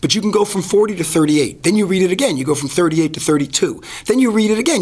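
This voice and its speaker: Very fast and with lively intonation, a man speaks in a high pitch. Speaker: advertising expert and professional speaker. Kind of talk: podcast interview.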